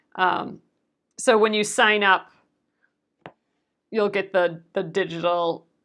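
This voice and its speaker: A woman mumbles at a fairly slow pace in a medium pitch, with vocal fry. Her tone is bright and sharp, and her intonation is fairly even. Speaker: craft livestream host. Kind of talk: casual crafting livestream chat. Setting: livestream video. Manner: mumbling.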